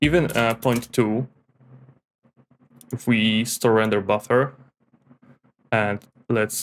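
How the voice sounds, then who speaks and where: A man's medium-pitched voice with a non-native accent, very slow pace and fairly even intonation. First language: not English. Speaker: 3D graphics tutorial creator. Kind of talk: tutorial. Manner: hesitant, with fillers and repetitions.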